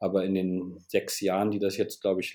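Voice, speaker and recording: A man speaks in a very deep, low pitch with a monotone, flat delivery. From northern Germany, Bremen. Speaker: chess web developer and designer. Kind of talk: interview. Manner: halting.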